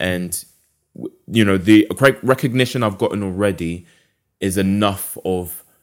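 A man speaks with a London accent at a fairly slow pace. His pitch is fairly low. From London, England. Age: 20s. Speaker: illustrator and podcast founder. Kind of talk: casual interview.

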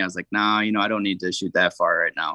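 In a Upper Midwest accent, a man talks with a fairly low pitch. His tone is bright and sharp against a quiet background. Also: dry, close sound with no echo. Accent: Upper Midwest American. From southeast Minnesota. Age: 20s. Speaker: hunter. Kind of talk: casual interview.

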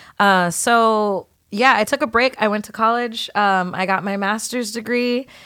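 An animated, bright, sharp voice in an American accent, with ordinary pitch variation and big swings in loudness. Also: woman, fairly high pitch for a woman, moderate pace. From San Diego, California. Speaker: singer-songwriter. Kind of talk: casual chat. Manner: animated, laughing often.

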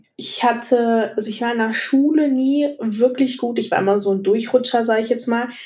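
A woman speaks at a moderate pace in a high voice with a dark, mellow tone and ordinary pitch variation. Audible room echo surrounds her. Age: 20s. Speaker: architecture student. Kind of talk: casual interview.

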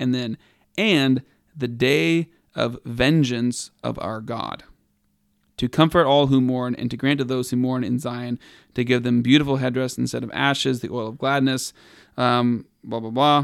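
A man's medium-pitched voice with an American accent, fairly even intonation, and a very clean recording over a silent background. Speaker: podcast co-host. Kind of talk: casual banter, Q&A. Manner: joking, laughs a lot.

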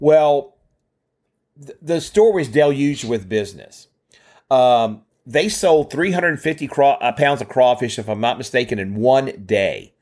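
In a Louisiana accent, a man talks at a fairly slow pace. His intonation is lively. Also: fairly high pitch for a man. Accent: Southern US (Louisiana). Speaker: podcast co-host. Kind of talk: casual chat. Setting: video call.

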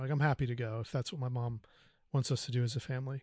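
Against a quiet background, a man with an American accent talks at a very fast pace, using a medium pitch and fairly even intonation. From US South, North Carolina. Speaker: podcast guest. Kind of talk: personal testimony. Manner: halting, many fillers.

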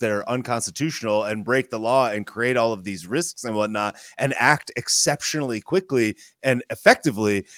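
A man speaks at a fairly quick pace with lively intonation in an unremarkable speaking voice, recorded with a dry, close sound and no echo. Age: 30s. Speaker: podcast guest. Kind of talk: casual political discussion. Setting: livestream.

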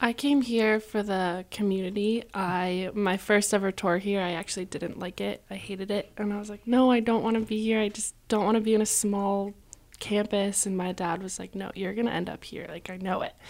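A woman with an American accent has a normal speaking voice at a medium pitch. She talks with hardly any pauses and fairly even intonation. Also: moderate pace. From Connecticut, US. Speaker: college student. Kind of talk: radio interview. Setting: radio studio.

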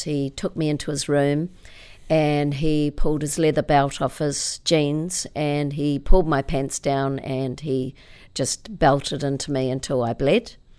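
A woman with a New Zealand accent, very deep and low in pitch, dark and mellow, fairly slow and fairly even in intonation, on a very clean recording with a silent background. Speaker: author and motivational speaker. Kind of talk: interview.

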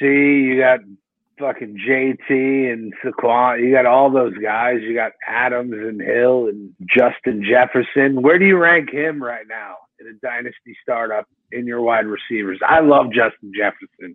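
At a fairly slow pace, a man talks at medium pitch with ordinary pitch variation and big swings in loudness. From US Northeast, South Jersey near Philadelphia. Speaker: fantasy football podcaster. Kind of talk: casual chat. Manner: animated.

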